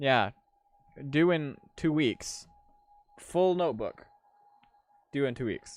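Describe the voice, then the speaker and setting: Music plays in the background as a man with a fairly high pitch speaks very slowly, leaving long, frequent pauses. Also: ordinary pitch variation. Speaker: gaming streamer. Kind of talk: casual chat. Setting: live stream.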